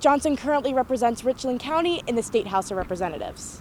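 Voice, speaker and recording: A woman's high voice, very fast, with very wide pitch swings. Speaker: student news reporter. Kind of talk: news reading. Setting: outdoors.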